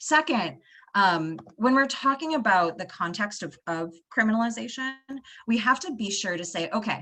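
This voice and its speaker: Speaking with an American accent, a woman uses a medium pitch and very wide pitch swings. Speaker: panelist, sex worker rights advocate. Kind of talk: panel discussion. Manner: fast; halting.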